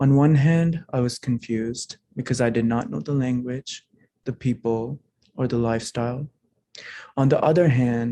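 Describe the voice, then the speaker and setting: With a non-native accent, a man speaks at a moderate pace in a dark, mellow tone, at medium pitch with ordinary pitch variation. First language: not English. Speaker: program alumnus. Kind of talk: prepared personal testimony speech. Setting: hybrid holiday event.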